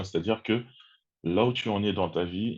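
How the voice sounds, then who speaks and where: The background is quiet. Speech unfolds at a fairly slow pace with ordinary pitch variation. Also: man. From Congo-Kinshasa. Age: 30s. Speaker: personal development content creator. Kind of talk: interview conversation.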